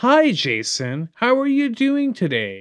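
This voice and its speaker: A man does a put-on character voice at an extremely high pitch. He speaks at a fairly slow pace. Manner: delighted, friendly.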